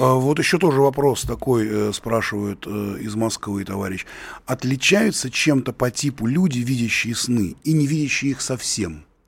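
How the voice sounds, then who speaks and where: Lively intonation marks this somewhat breathy voice, which proceeds at a moderate pace. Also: man, medium pitch for a man. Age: 50s. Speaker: radio host and writer. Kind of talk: radio call-in show.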